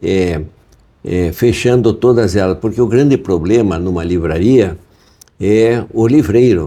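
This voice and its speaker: Very slow speech in a dark, mellow tone carries lively intonation. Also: man. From southern Brazil, Curitiba. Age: 80s+. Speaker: bookseller. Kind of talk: interview. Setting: in his bookshop. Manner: halting, many fillers.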